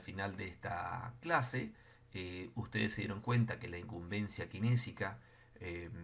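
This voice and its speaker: A man with a fairly low voice and vocal fry talks at a fairly slow pace with ordinary pitch variation, and the room echo is audible. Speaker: physiotherapy lecturer. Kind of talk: lecture.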